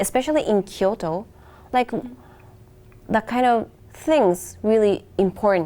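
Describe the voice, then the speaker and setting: Speaking in a Japanese accent, a woman with a fairly high pitch and a dark, mellow tone keeps her loudness very even, varies her pitch in an ordinary way, and moves at a fairly slow pace with long, frequent pauses. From Japan, Hokkaido. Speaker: international music student. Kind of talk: interview. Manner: halting.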